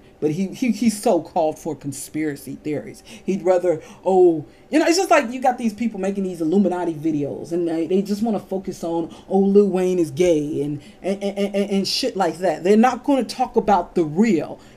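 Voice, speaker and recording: Lively intonation from a woman at a medium pitch and a moderate pace. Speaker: video blogger. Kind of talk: rant. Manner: animated; halting.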